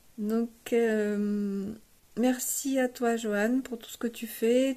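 A woman's voice is heard. It carries a dark, mellow tone. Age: 60s. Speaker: amateur bass player, workshop participant. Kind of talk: testimonial. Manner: hesitant with many fillers.

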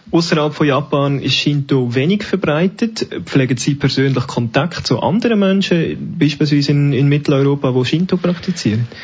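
Hardly pausing, a man talks at a moderate pace and fairly high pitch with ordinary pitch variation and very even loudness, over noticeable background noise. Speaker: radio host. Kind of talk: interview. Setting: live event in a library.

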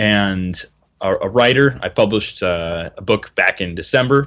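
Against a quiet background, a man with a very deep, low pitch and a bright, sharp tone speaks at a fairly slow pace. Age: 20s. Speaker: wilderness outfitter and bushcraft instructor. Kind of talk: casual chat.

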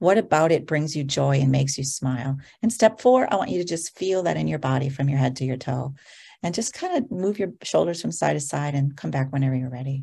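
Against a quiet background, a woman with a very deep, low pitch and a dark, mellow tone talks fairly quickly, somewhat breathy, with lively intonation. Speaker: entrepreneur and joy speaker. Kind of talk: guided meditation.

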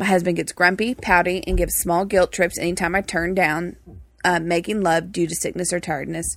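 A woman with a Texas accent, fairly low in pitch with vocal fry and fairly even intonation, at a fairly quick pace on a very clean recording with a silent background. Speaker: co-host of marriage podcast. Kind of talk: casual conversational podcast chat.

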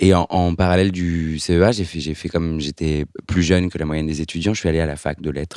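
A man at a fairly quick pace, very deep and low in pitch, with fairly even intonation on a very clean recording with a silent background. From France, Lyon. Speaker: screenwriter. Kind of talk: casual chat.

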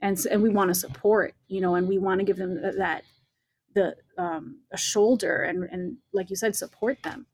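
With a plain, everyday voice, a woman speaks at a moderate pace and a medium pitch with ordinary pitch variation. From Latin American roots. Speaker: church community leader. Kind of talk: casual chat.

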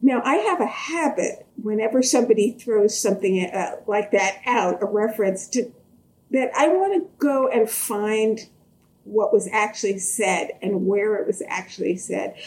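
A woman speaks in an unremarkable speaking voice at a fairly high pitch. Her pace is fairly slow, and her pitch variation is ordinary. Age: 60s. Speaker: history professor. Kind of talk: interview conversation.

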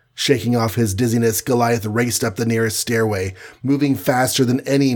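In a natural voice, someone reads aloud with intonation that stays fairly even.

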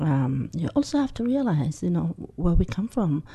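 A woman's very deep, low voice with a Somali accent, dark and mellow in tone, somewhat breathy, at a fairly slow pace. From Somalia. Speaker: community organization leader. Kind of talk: interview.

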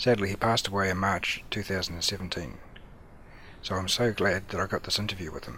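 Speaking with a New Zealand accent, a man has a very deep, low pitch and a bright, sharp tone, keeping his intonation fairly even at a moderate pace. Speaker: podcast host. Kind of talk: scripted introduction.

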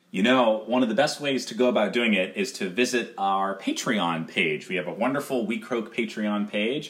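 With a plain, everyday voice, a man speaks at a moderate pace and medium pitch, his intonation lively. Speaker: podcast co-host. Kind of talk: casual promo chat.

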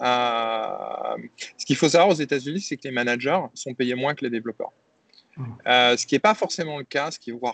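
At a moderate pace, a man with a medium pitch talks with ordinary pitch variation and long, frequent pauses. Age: 40s. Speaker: tech company CEO. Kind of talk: interview. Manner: hesitant, with many repetitions and fillers.

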